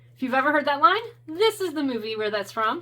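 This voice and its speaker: A high-pitched woman in a raised, projected voice, with very wide pitch swings. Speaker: tarot content creator. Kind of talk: casual talk to camera, deck flip-through review.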